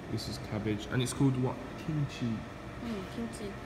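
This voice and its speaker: Moderately paced speech from a man over noticeable background noise. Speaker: travel vlogger. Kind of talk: casual vlog chat. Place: cafe. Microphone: phone near.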